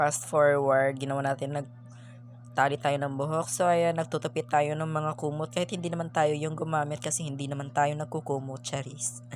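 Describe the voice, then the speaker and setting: A fairly quick pace with music in the background. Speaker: vlogger. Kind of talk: vlog voice-over narration. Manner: casual, joking.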